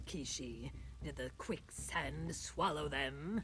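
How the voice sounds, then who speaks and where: Clear background noise under a very slow, put-on character voice. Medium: video game.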